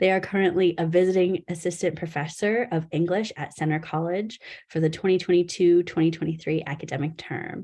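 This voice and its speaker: A woman's dark, mellow voice, fairly low in pitch, at a fairly quick pace over a quiet background. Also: fairly even intonation. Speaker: poetry society president hosting a reading. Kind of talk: reading a bio aloud; hosting a live online poetry reading. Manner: quiet, low-key; frequent um fillers.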